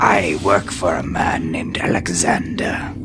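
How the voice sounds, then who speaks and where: A man whispers in a put-on character voice at a moderate pace. Loud background noise fills the recording. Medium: actual play. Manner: formal, archaic.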